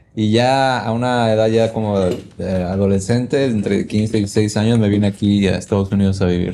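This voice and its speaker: A fairly low, dark, mellow male voice, with very even loudness, fairly even intonation, and a moderate pace. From Veracruz, Mexico. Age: 30s. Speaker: musician and music producer. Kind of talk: casual chat.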